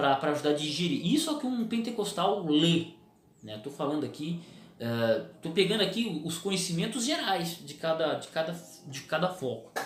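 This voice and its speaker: At a moderate pace, a high-pitched man speaks with lively intonation and big swings in loudness, with audible room echo and noticeable background noise. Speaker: preacher and theology video host. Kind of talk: casual talk to camera. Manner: repetitive filler stammers.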